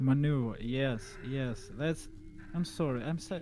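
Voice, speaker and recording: This man has a dark, mellow tone at medium pitch, and his delivery is somewhat breathy. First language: not English. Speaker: indie game developer. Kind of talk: casual chat. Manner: hesitant, halting.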